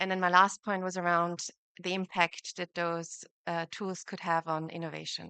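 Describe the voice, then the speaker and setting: A woman's bright, sharp voice in an Austrian accent, dry and close with no echo. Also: quiet background. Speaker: competition lawyer. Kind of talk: conference panel talk.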